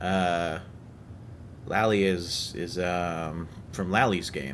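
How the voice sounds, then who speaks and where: With audible room echo, a man speaks at a very deep, low pitch. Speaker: gaming streamer. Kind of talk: live gameplay commentary. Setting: live stream. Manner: calm; hesitant, many fillers.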